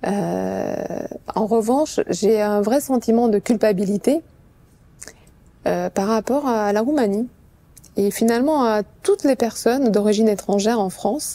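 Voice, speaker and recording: A woman's fairly high voice with a dark, mellow tone and a Romanian accent, fairly slow, with very even loudness and long, frequent pauses. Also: ordinary pitch variation. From Romania, Bucharest. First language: Romanian (speaking French). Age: 40s. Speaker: sales executive. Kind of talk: interview testimony. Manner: hesitant, many fillers.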